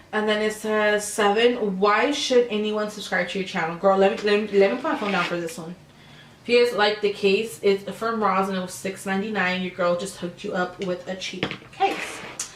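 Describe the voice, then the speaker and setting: Over noticeable background noise and audible room echo, a woman at a medium pitch talks at a fairly quick pace. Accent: American. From California, Sacramento area. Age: 20s. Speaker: beauty vlogger. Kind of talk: casual chat. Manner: animated.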